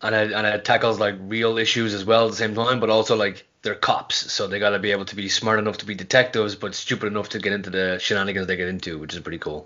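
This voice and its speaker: Very fast speech in an Irish accent, with fairly even intonation and hardly any pauses. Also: man, fairly low pitch for a man, quiet background. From Ireland. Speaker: pro wrestler; podcast guest. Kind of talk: casual chat. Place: home room.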